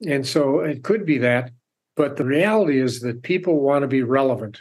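This is a man with an ordinary speaking voice, pitched fairly high. He talks at a moderate pace with ordinary pitch variation. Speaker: author and purpose coach. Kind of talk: interview. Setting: remote call from home.

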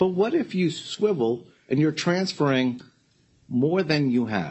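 A somewhat breathy male voice, fairly slow, with very wide pitch swings. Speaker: bankruptcy judge. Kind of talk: presiding over court hearing. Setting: courtroom with remote participants.

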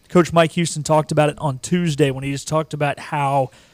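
A man speaks in an ordinary speaking voice, fairly high in pitch, with fairly even intonation. His pace is fairly quick, and the sound is dry and close with no echo. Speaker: producer and co-host. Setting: in studio.

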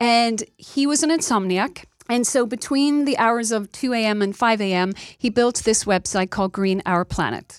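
A woman's fairly high voice at a moderate pace, ordinary pitch variation, dry, close sound with no echo, and a very clean recording with a silent background. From Ireland, Dublin. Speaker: nonprofit CEO. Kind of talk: interview.

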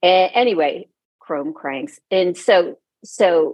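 Speaking at a very slow pace, the woman shows ordinary pitch variation. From Cincinnati, Ohio. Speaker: musician and visual artist. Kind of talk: interview.

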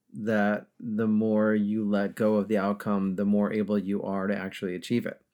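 Over a silent background in a very clean recording, a man with an American accent uses an ordinary speaking voice, fairly low in pitch, at a moderate pace. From upstate New York. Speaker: podcast host, leadership coach. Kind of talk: interview.

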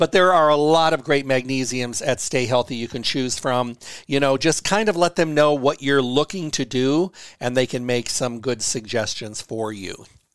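On a very clean recording with a silent background, a man with a normal speaking voice talks at a moderate pace with ordinary pitch variation. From US Midwest. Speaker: radio host and herbalist. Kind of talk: health radio Q&A monologue.

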